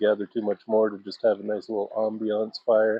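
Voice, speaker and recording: A man speaks at a fairly quick pace in a relaxed tone. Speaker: outdoor vlogger. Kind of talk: casual vlog monologue. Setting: outdoors. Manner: loud.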